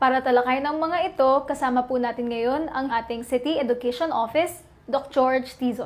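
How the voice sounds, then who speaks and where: A high-pitched woman at a fairly quick pace, with fairly even intonation and hardly any pauses. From Philippines. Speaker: youth council federation chair, co-presenter. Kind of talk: show introduction and sign-off, polite broadcast host. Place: office. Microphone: lapel.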